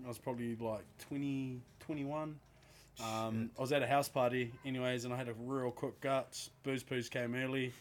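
A man with a New Zealand accent speaks at a moderate pace. His medium-pitched voice is monotone and flat. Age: 20s. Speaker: podcast co-host. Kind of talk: casual chat.

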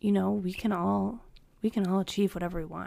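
Here a woman talks. The background is silent and the recording very clean. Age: 20s. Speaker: podcast host and fitness coach. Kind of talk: unscripted solo monologue. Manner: casual, with frequent laughs.

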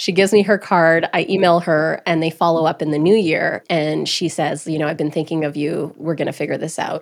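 A woman with a Canadian accent and a normal speaking voice, fairly low in pitch, at a fairly quick pace with hardly any pauses. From Alberta, Canada (Grande Prairie). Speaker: entrepreneur and interviewer. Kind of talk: podcast interview.

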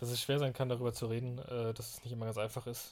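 Somewhat breathy, a man talks very fast at a medium pitch. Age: 20s. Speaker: podcast host. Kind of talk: solo podcast monologue. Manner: hesitant, many fillers.

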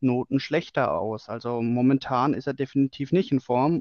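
This man has a normal speaking voice. He talks at a fairly slow pace with fairly even intonation. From Bavaria, Germany. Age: 20s. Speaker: fan podcast co-host. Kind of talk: casual chat. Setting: remote recording.

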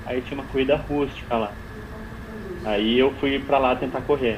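Over noticeable background noise, a man speaks in a monotone, flat delivery. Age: 30s. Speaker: long-distance runner. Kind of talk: interview.

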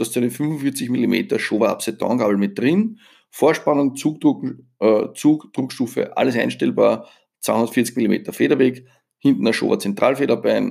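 The speaker talks at a fairly slow pace in an Austrian accent. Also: man. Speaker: motorcycle journalist and podcast host. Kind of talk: solo podcast monologue. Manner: casual, conversational.

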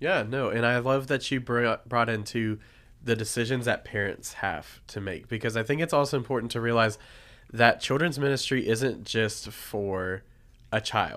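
In a very clean recording with a silent background, a man with a Southern US accent talks at a medium pitch and moderate pace, with ordinary pitch variation. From Tennessee, Nashville. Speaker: children's ministry pastor. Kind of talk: casual podcast chat.

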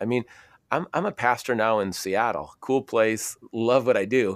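A man's unremarkable speaking voice with an American accent, medium in pitch, at a fairly quick pace, on a very clean recording with a silent background and a dry, close sound with no echo. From US Midwest, Minnesota (Minneapolis). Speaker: former pro goalkeeper, pastor, speaker. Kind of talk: casual interview.

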